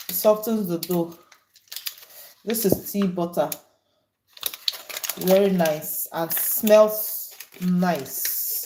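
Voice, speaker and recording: Her medium-pitched voice carries ordinary pitch variation as this woman talks very slowly. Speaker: home cook streamer. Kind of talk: cooking livestream.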